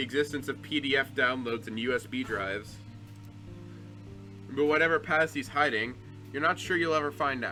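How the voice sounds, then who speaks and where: Music plays in the background as a man speaks at a fairly quick pace, medium pitch and ordinary pitch variation. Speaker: gaming video creator. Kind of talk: reading game text aloud. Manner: fast.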